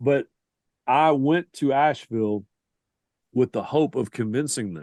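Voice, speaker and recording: In a Southern US accent, a man talks with ordinary pitch variation. The sound is dry and close with no echo, over a quiet background. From US South. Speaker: sports writer and reporter. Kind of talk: podcast interview.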